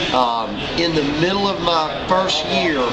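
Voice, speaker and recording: Loud background noise fills the recording. A man speaks in an American accent. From US South, Wilmington, North Carolina. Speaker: interviewee recalling childhood during desegregation. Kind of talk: oral history interview.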